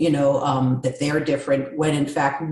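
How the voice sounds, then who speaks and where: A woman with an American accent talks at a moderate pace in a very deep, low pitch. Her voice is somewhat breathy. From New York. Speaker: communication coach. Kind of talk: interview.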